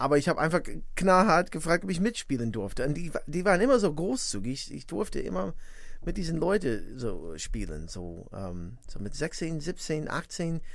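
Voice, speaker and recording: A man with an English accent talks at a moderate pace and a fairly high pitch, with vocal fry and very wide pitch swings. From US Midwest (northwest Indiana, near Chicago). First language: English (speaking German). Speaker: musician and composer. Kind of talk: interview. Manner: halting, many fillers.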